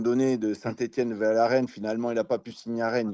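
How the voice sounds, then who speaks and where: A man speaks at a fairly quick pace and medium pitch. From Brittany, western France. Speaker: former football striker. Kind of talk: interview. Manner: hesitant with many fillers.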